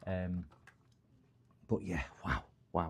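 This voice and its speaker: A man with a northern English accent speaks in a dark, mellow tone. The recording is very clean, with a silent background. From northern England. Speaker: electronics repair streamer. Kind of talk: casual live stream chat. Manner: rambling, conversational.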